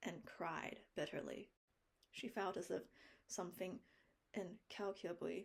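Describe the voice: Plain reading aloud, its intonation fairly even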